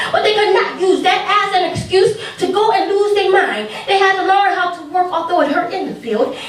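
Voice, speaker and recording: Talking at a fairly quick pace, a woman with an extremely high pitch and ordinary pitch variation is heard over noticeable background noise. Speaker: spoken word poet. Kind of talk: spoken word poetry performance. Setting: live open mic.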